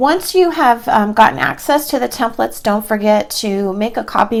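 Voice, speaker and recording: A woman has an unremarkable speaking voice, talking at a moderate pace and medium pitch. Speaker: personal finance podcast host. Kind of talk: tutorial. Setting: screen-share video.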